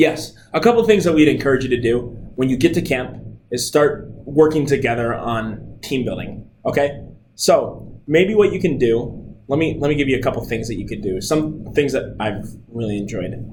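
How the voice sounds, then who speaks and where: A man speaks in an energetic tone at a moderate pace, his medium pitch carrying lively intonation and vocal fry, with audible room echo around him. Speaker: camp staff trainer. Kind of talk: recorded training talk. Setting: screen recording with webcam. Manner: loud; casual, energetic.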